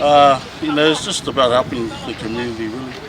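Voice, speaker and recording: A man with ordinary pitch variation over crowd noise in the background. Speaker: community cycling organiser. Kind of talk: interview answer.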